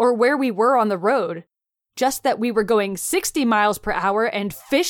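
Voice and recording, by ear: Ordinary pitch variation in reading aloud in a natural voice, set against a quiet background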